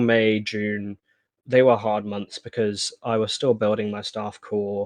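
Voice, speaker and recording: Speaking with a British accent, a man uses a medium pitch at a fairly slow pace, in a dry, close sound with no echo. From Britain. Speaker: online gaming community leader. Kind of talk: interview.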